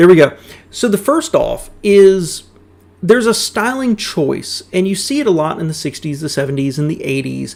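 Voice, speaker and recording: Speaking at a moderate pace with a Southern US accent, a man uses a high voice with very wide pitch swings. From US South. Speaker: car YouTuber reacting to videos. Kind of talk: casual reaction commentary.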